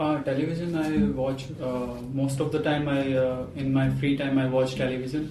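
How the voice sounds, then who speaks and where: Against noticeable background noise, a man speaks at a moderate pace in a medium pitch. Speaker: English language student. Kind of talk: mock exam interview answer. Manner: hesitant, nervous, many fillers.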